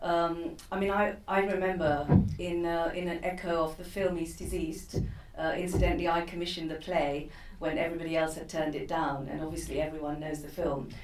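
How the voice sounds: The speech runs at a fairly quick pace with little pitch movement. Audible room echo surrounds it. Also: woman, fairly low pitch for a woman.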